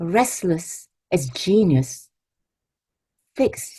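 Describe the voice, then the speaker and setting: Somewhat breathy and dark, mellow in tone, a woman speaks at a medium pitch with lively intonation. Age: 80s+. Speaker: poet. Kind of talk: poetry reading; introducing her poems to an audience.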